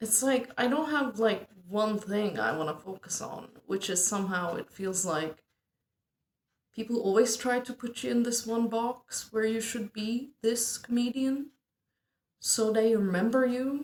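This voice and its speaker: This woman's voice sits fairly high, with ordinary pitch variation. She speaks at a fairly slow pace. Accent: Turkish. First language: Turkish. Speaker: amateur stand-up comedian. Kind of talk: casual monologue vlog.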